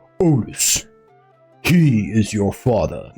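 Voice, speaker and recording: Over faint background music, a man does a put-on character voice at a medium pitch. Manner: dramatic.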